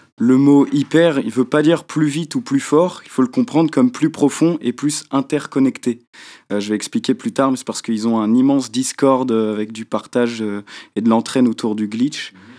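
On a very clean recording with a silent background, a man speaks at a moderate pace and medium pitch, with ordinary pitch variation and a dark, mellow tone. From Brittany, France. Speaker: young musician and columnist. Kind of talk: radio talk show. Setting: radio studio.

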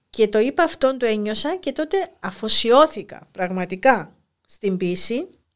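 At a fairly slow pace, a woman speaks with fairly high pitch and very wide pitch swings. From Cyprus, Famagusta. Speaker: school inspector and poet. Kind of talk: interview.

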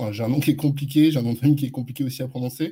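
A man's voice comes across somewhat breathy and dark, mellow in tone, with fairly even intonation. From France, Neuilly-sur-Seine. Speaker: advertising agency founder. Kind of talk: interview.

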